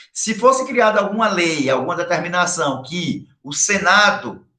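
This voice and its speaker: Amid audible room echo, a man with a high pitch and a bright, sharp tone speaks at a fairly slow pace with lively intonation. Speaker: high school history teacher. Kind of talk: online lecture.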